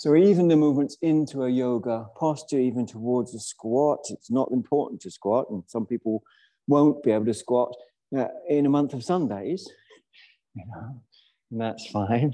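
Over a quiet background, a man speaks in a dark, mellow tone. His loudness swings widely. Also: ordinary pitch variation, moderate pace. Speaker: yoga teacher. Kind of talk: class instruction. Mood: relaxed, playful. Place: hall.

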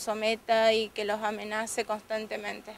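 A woman speaks in a strained voice at a very slow pace. The sound is dry with no echo, with light background noise. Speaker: domestic violence survivor giving testimony. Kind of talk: tearful testimony, emotional account of abuse. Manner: halting, hesitant, repeating words; distressed, emotionally strained. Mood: earnest, emotional testimony. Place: street. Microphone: handheld.

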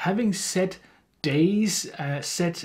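The speech comes at a very slow pace with ordinary pitch variation over a quiet background. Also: man. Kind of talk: interview answer. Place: home room.

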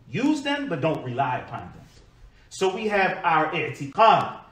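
There is audible room echo as a man speaks at a fairly slow pace. His pitch makes very wide swings. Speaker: preacher. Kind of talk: sermon. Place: church.

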